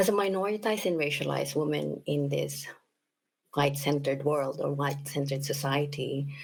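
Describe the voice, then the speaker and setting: A woman's very deep, low voice with vocal fry, a Filipino accent, fairly even intonation, and a moderate pace. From Philippines. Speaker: equity advocate. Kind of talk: panel discussion.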